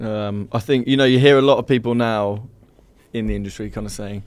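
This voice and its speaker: Speaking with a Birmingham accent, a man uses a fairly low pitch with ordinary pitch variation. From English Midlands, Birmingham. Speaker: software company founder. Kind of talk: casual chat.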